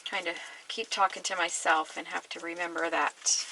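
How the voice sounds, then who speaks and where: A woman mumbles at a fairly slow pace over noticeable background noise. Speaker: mixed media artist. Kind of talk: tutorial. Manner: mumbling; casual, thinking aloud.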